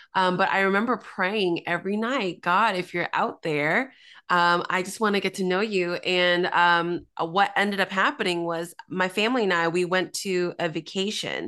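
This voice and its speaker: Over a quiet background, a woman at medium pitch speaks at a moderate pace in a bright, sharp tone with fairly even intonation. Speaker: author and pastor. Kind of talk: casual interview chat, testimony.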